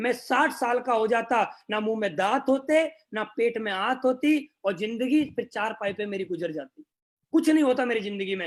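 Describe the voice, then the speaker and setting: This man's voice sits at an extremely high pitch. His pitch varies in an ordinary way. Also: very clean recording, silent background. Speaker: network marketing leader. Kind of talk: motivational speech.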